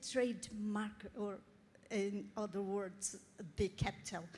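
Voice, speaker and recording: A woman with a Portuguese accent speaks at a medium pitch in a dark, mellow, somewhat breathy tone. Her pace is very slow, with long, frequent pauses. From Brazil. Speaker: audience member at expert meeting. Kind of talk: question from the floor. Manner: halting.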